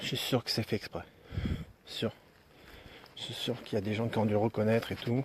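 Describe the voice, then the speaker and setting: A man is talking here. His voice falls at a medium pitch. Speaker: paranormal investigator streaming live. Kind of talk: live stream commentary. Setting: outdoors at night, live stream.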